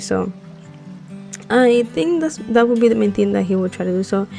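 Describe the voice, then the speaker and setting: Over music in the background, a woman with a non-native accent speaks at a fairly quick pace. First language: not English. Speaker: Sims builder, YouTuber. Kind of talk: casual voiceover for a speed build. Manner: hesitant, many fillers.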